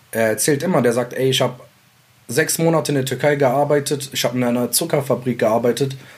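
A man talks very fast in a somewhat breathy voice. His pitch is medium and his intonation fairly even. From Mainz, Germany (immigrant neighbourhood, Iraqi family). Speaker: rapper. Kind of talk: casual interview.

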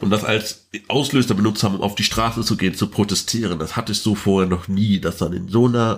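Talking at a very fast pace, a man speaks with a fairly low pitch and ordinary pitch variation. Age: 20s. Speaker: trade unionist and activist. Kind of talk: interview conversation.

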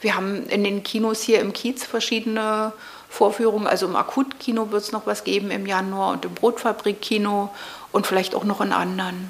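The delivery is monotone and flat at a fairly quick pace, with noticeable background noise. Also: woman, medium pitch for a woman. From East Berlin, Prenzlauer Berg. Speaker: video artist. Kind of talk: interview conversation. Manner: hesitant, with many fillers.

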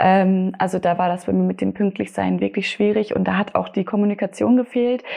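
Hardly pausing at all, a woman keeps a moderate tempo. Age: 20s. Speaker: logistics apprentice. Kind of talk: interview.

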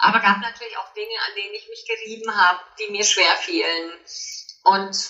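With ordinary pitch variation, a woman's fairly high voice moves along at a moderate pace. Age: 50s. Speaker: author and coach. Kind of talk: interview.

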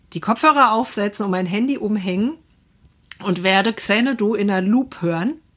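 At a moderate pace, a woman talks in an ordinary speaking voice. Her fairly high pitch shows ordinary variation. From Hesse, Germany (Assenheim). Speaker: podcast guest. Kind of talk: casual chat.

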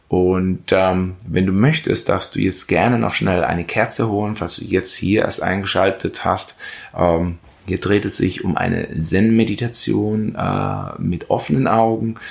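A man talks at a fairly slow pace with a very deep, low pitch and ordinary pitch variation. There is noticeable background noise. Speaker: meditation guide podcaster. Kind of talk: guided meditation. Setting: podcast recording. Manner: slow, calm, soothing, with long pauses; gentle, instructive.

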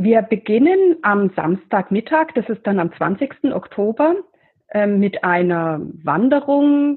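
A woman's fairly high voice swings very widely in pitch as she talks at a very slow pace. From Middle Franconia, Bavaria. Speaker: geologist and professor. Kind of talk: interview.

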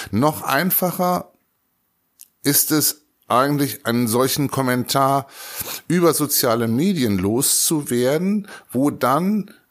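A man with a fairly high voice talks at a very slow pace, leaving long, frequent pauses and keeping his loudness very even. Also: lively intonation. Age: 60s. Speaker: school principal. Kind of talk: interview.

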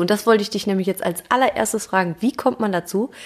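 There is noticeable background noise behind a woman with a fairly high pitch. She speaks at a fairly quick pace. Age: 30s. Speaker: footballer's wife and mother. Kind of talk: casual chat.

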